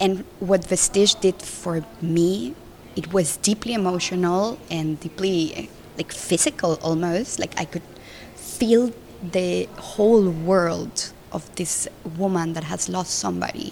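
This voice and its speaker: In a Spanish accent, a woman with a fairly low voice speaks at a very slow pace. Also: ordinary pitch variation. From Colombia. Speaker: film director. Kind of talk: interview. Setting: festival.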